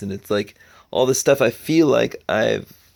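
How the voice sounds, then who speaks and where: A man speaking at a moderate pace. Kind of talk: personal video diary. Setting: outdoors in the woods. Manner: casual, reflective.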